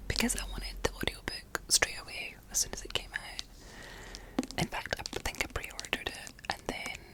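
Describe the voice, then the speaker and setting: Whispering at a moderate pace with hardly any pauses, the voice comes over noticeable background noise. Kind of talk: ASMR book review ramble. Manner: whispered, soft-spoken.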